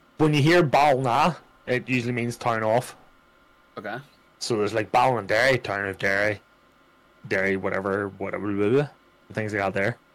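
Speaking with an Irish accent, a man keeps a moderate pace with ordinary pitch variation. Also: medium pitch for a man. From Ireland. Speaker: streamer. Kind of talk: casual chat. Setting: live stream.

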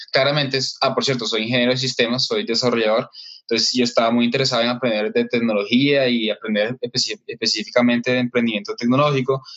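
A man's medium-pitched voice at a very fast pace, with very even loudness and fairly even intonation. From Colombia, Caribbean coast (Barranquilla). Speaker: entrepreneur, systems engineer. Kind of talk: interview.

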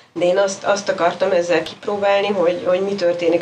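A woman speaks fairly quickly while noticeable noise sounds behind her. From Hungary. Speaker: writer and cultural anthropologist. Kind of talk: interview conversation.

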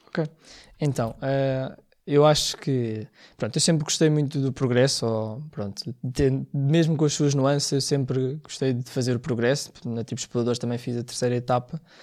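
On a very clean recording with a silent background, a man talks at a moderate pace in a medium pitch with fairly even intonation. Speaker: scout and first-aid association founder. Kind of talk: interview. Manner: hesitant, many fillers.

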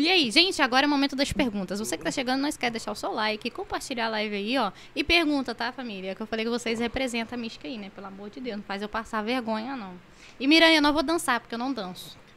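A woman's high voice at a very fast pace, with very wide pitch swings and big swings in loudness. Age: 20s. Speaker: gaming streamer. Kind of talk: casual chat.

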